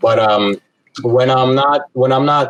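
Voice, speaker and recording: A man speaks with a Russian accent. The sound is dry and close, with no echo. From Brooklyn, New York (from Moscow at 9-10). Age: 20s. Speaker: speech pathology graduate student and sambo coach. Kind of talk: casual chat.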